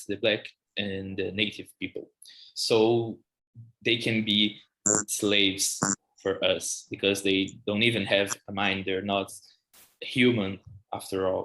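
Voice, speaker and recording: Speaking very slowly, a man with a Portuguese accent has a fairly low pitch and a bright, sharp tone. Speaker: music journalist and academic researcher. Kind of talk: podcast interview. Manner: halting, many false starts and fillers.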